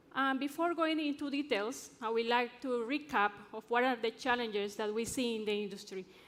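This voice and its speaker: A woman with an Ecuadorian accent, high-pitched, at a fairly quick pace with ordinary pitch variation and hardly any pauses. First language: Spanish. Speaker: drilling engineer and conference speaker. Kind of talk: conference presentation. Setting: stage with audience.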